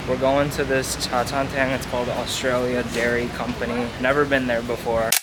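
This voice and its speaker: Noticeable background noise accompanies a relaxed tone. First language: Cantonese. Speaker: travel vlogger. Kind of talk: casual vlog narration. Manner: casual, relaxed.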